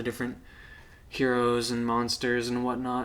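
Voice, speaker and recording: There is audible echo from the room. The man's voice sits at a medium pitch. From United States. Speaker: YouTuber showing his book collection. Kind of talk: casual show-and-tell monologue. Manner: casual, hesitant with fillers.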